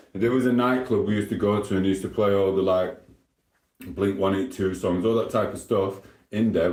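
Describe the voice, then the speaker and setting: A man speaks with a Sheffield accent in a very deep, low pitch. His pace is fairly quick, and his pitch varies in an ordinary way. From South Yorkshire, England (Sheffield). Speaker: live streamer. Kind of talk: casual live stream chat.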